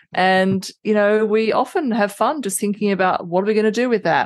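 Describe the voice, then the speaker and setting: At a fairly quick pace, the speaker talks with an Australian accent against a quiet background. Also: woman. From Adelaide, Australia. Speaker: retired banking and tech professional. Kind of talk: casual interview chat.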